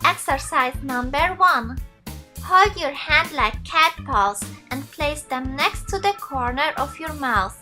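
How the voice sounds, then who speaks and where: A woman's very slow speech with music in the background. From Switzerland. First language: Swiss German. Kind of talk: beauty tutorial instructions to camera.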